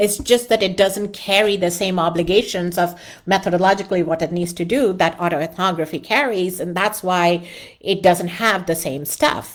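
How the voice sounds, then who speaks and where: Her voice sits at a medium pitch, and this woman's pitch varies in an ordinary way. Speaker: academic journal editor and qualitative research teacher. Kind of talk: live online lecture. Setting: live stream with chat. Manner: fast.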